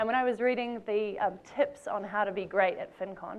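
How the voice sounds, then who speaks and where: With a New Zealand accent, a woman speaks in a fairly high voice. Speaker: conference speaker. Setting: stage. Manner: friendly, chatty.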